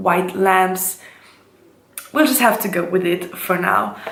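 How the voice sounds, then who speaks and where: Audible room echo and noticeable background noise around a woman's speech. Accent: German. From Switzerland. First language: German. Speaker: beauty vlogger. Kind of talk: casual vlog intro. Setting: home kitchen.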